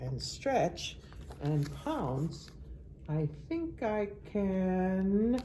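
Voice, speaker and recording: A put-on character voice speaks at a very slow pace with long, frequent pauses over clear background noise. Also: female-sounding voice. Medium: read story.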